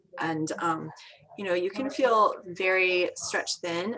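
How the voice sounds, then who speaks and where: A woman with a fairly low voice speaks at a moderate pace amid noticeable background noise. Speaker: midwife and doula. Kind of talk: online presentation.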